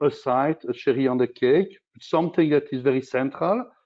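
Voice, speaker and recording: The man speaking has a fairly high pitch. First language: not English. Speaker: corporate sustainability executive. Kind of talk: panel discussion. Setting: virtual conference. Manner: halting.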